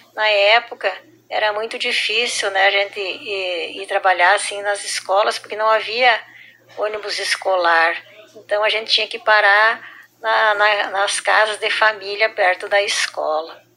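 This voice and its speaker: Over noticeable background noise, a woman speaks at a medium pitch, fairly slowly, in a monotone, flat delivery. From southern Brazil, Rio Grande do Sul. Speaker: schoolteacher. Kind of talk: personal testimony.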